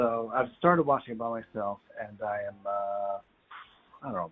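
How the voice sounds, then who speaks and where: A man speaks at a fairly quick pace. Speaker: podcast co-host playing video games. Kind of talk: casual chat. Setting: phone call.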